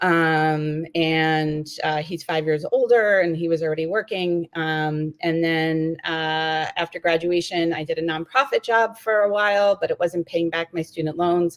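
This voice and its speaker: A woman in a New York accent, fairly low in pitch, with fairly even intonation, a fairly slow pace and hardly any pauses. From New York City. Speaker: diplomat and mother. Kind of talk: casual interview.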